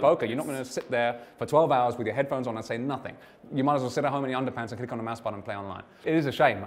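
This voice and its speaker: A man with a British accent speaks at a very fast pace with fairly even intonation. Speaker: poker player. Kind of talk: interview answer. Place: hall. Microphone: lapel.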